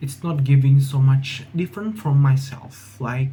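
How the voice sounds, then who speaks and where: A man speaks fairly slowly at a medium pitch, somewhat breathy, with a dark, mellow tone and ordinary pitch variation. There is audible room echo. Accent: Indonesian. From Indonesia (Jambi, Sumatra). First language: Indonesian. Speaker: university student vlogger. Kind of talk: casual vlog monologue. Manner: halting, many fillers and restarts.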